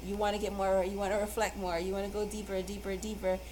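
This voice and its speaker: A woman races along at a very fast pace amid noticeable background noise and audible room echo. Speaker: tarot reader. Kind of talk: tarot card reading. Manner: halting.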